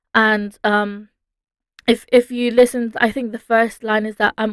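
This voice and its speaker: A woman with a British accent, monotone and flat, in a dry, close sound with no echo on a very clean recording with a silent background. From London, England. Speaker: singer-songwriter. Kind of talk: interview. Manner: hesitant, many fillers.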